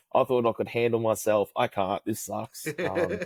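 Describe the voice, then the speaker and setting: Speaking with an Australian accent, a man talks at medium pitch and a moderate pace. The sound is dry and close with no echo, on a very clean recording with a silent background. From Australia, New South Wales. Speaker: karate instructor. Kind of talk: casual chat. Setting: podcast interview.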